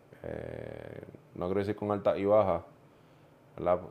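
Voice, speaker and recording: Against a quiet background, a man with a Puerto Rican accent speaks in a monotone, flat intonation. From Puerto Rico (central, Juntas). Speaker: pastor. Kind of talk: casual chat.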